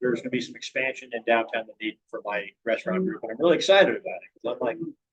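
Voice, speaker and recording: Recorded with a dry, close sound and no echo, a man talks. His delivery is very fast, with ordinary pitch variation. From Virginia mountains. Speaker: restaurant owner, club member. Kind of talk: personal life story talk to a club. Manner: halting with many fillers.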